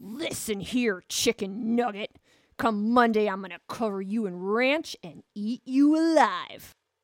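A female-sounding, put-on character voice with a hissing quality. It moves at a fairly slow pace. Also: fairly high pitch for a woman. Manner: menacing, hissed through clenched teeth.

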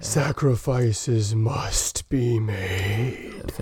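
A man at a medium pitch performs in a put-on character voice. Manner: grave, solemn.

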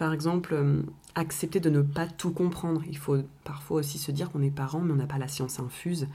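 A woman's very deep, low voice, dark and mellow, somewhat breathy, at a fairly quick pace with monotone, flat intonation. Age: 20s. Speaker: parenting podcast co-host, young mother. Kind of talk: casual chat.

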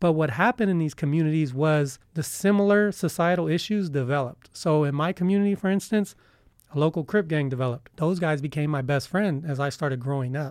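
In a very clean recording with a silent background, a man with an American accent speaks at a fairly quick pace. His is an unremarkable speaking voice, fairly high in pitch, with ordinary pitch variation. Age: 30s. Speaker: university student. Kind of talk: interview.

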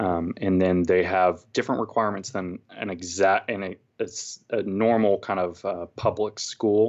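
An unremarkable speaking voice from a man with an American accent, fairly low in pitch, moderate in pace, with fairly even intonation. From California. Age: 30s. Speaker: mechanical engineer. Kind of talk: casual interview. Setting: home living room recording.

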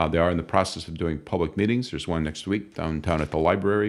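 With a Midwestern US accent, a man speaks at a very fast pace in a very deep, low pitch. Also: very clean recording, silent background. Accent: US Midwest. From northwest Iowa. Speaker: healthcare executive. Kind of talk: interview. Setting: home studio.

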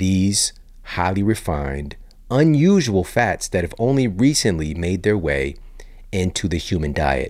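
In a calm tone, a man speaks with a very deep, low pitch and lively intonation. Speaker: podcast host, fitness and nutrition expert. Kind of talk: podcast monologue and interview.

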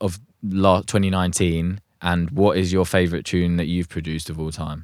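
A man with a very deep, low pitch and a southern English accent, at a moderate pace, on a very clean recording with a silent background. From southern England. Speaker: music producer and podcast host. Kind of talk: casual chat. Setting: home studio.

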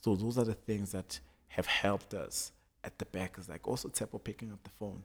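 A man speaks in an ordinary speaking voice at a fairly quick pace and fairly low pitch. His intonation is fairly even, while his loudness swings widely. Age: 20s. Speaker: fashion designer. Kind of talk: casual chat.

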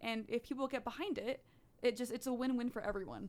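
With vocal fry, a woman speaks at a very fast pace and a fairly high pitch. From Netherlands. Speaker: youth gun-safety activist. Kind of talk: radio interview. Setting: radio studio.

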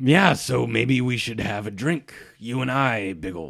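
A gruff, raspy put-on character voice from a man at a moderate pace. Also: medium pitch for a man. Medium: actual play. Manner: gruff, sinister undertone.

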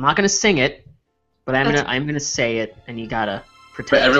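Fairly slow speech over music in the background. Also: man. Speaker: podcast co-host. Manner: casual, joking.

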